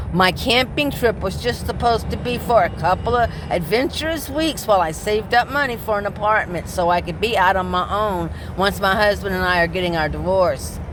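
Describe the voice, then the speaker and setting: A woman talks at a fairly quick pace with hardly any pauses, her medium pitch carried by lively intonation. Noticeable background noise runs underneath. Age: 60s. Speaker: vlogger living in her car, delivery driver. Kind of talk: personal vlog monologue. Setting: inside her parked car.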